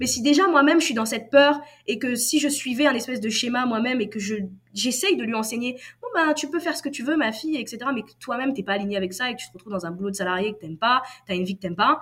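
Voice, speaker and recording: Speaking at a very fast pace, a woman with a high pitch uses lively intonation and big swings in loudness. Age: 20s. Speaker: copywriter. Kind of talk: interview.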